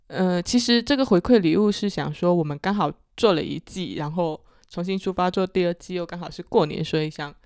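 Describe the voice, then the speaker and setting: On a very clean recording with a silent background, a woman speaks in a dark, mellow tone at a fairly low pitch. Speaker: podcast host, marketing professional. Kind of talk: casual chat.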